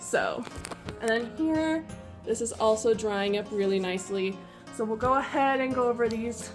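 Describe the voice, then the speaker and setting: Music plays in the background as a woman speaks at a fairly slow pace. Her pitch is fairly high, with ordinary variation. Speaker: YouTube home cooking and DIY creator. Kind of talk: casual talk to camera. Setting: home kitchen.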